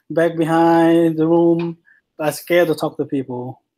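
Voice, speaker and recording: A man speaks with a Vietnamese accent and a dark, mellow tone. His fairly slow delivery comes through on a very clean recording with a silent background. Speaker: student. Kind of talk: class presentation. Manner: halting.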